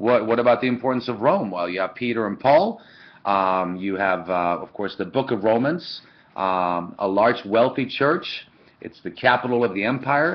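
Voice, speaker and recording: With a Swedish accent, a man speaks at a medium pitch and a moderate pace. His intonation is lively. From Sweden. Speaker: church history lecturer. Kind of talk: lecture. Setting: webcam recording. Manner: halting, many fillers.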